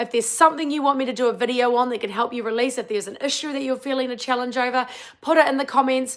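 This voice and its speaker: A woman's animated, high-pitched voice in a New Zealand accent at a very fast pace. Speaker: wellbeing coach. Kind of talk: casual live-stream chat; guided tapping session, live stream. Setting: live stream.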